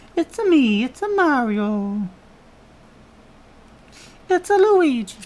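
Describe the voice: A high-pitched, put-on character voice moves at a fairly slow pace. Its pitch swings very widely.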